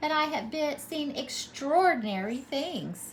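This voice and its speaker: A woman's raised, projected put-on character voice, high-pitched, at a fairly slow pace with clear background noise. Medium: read story. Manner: confident, storytelling.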